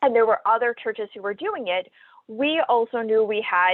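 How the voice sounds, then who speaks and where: Fairly quick and lively in intonation, a woman speaks in a fairly high voice. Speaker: nonprofit consultant. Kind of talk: webinar presentation. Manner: fast.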